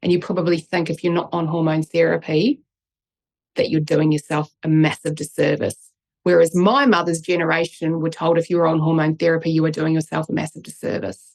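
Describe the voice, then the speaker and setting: A woman speaks at a fairly quick pace with fairly even intonation and a fairly low pitch, in a dry, close sound with no echo. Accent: New Zealand. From New Zealand, Christchurch. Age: 40s. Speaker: neuroscientist and author. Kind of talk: interview.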